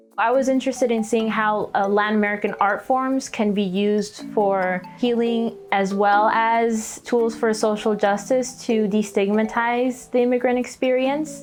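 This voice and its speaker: A woman at a fairly high pitch with fairly even intonation, very even loudness and hardly any pauses, music in the background. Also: moderate pace. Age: 20s. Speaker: artist and performer. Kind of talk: documentary interview answer.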